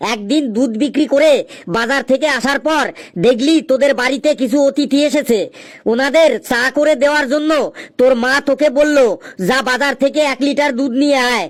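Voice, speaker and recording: A man puts on a cartoonish character voice, pitched extremely high. He speaks at a moderate pace. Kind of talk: comic cartoon voice. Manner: scolding, sarcastic.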